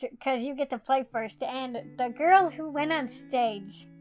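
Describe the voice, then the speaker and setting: Music plays in the background as a woman speaks at a fairly slow pace. Her pitch variation is ordinary. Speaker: YouTuber. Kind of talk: storytime talk to camera.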